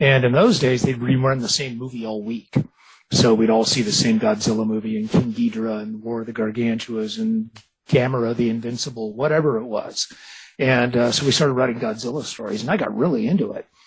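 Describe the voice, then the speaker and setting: A man speaks at a fairly quick pace, his medium-pitched voice somewhat breathy. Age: 60s. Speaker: author and visual effects artist. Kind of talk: radio interview. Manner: casual, animated.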